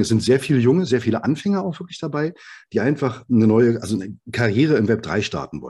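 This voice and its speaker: A man with a dark, mellow tone, medium pitch and vocal fry talks at a very fast pace with lively intonation. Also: quiet background. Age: 40s. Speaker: software developer and startup founder. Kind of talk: interview.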